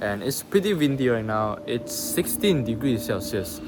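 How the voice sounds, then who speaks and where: With noticeable background noise, a man talks at a fairly slow pace, his pitch swinging very widely. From Malaysia. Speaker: vlogger. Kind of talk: travel vlog monologue.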